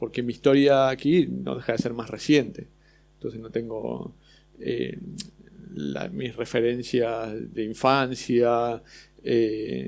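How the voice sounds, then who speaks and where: This man has an Argentine accent, a medium pitch and ordinary pitch variation. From Argentina. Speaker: illustrator. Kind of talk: panel discussion. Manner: halting.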